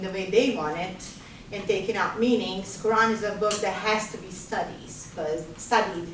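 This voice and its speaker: A woman with a Bosnian accent and a fairly high voice, with noticeable background noise. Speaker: nurse. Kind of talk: classroom guest talk answering student questions.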